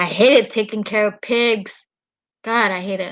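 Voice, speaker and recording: The woman's intonation is flat and monotone. She talks at a fairly slow pace. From Mexico. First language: Spanish. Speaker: live streamer. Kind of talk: casual chat.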